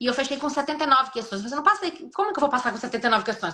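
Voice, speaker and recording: Speaking very fast in a raised, projected voice, a woman sounds high-pitched and bright and sharp, her pitch swinging very widely. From Brazil, Espírito Santo. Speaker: nurse. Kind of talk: interview on a live stream. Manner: swallows words.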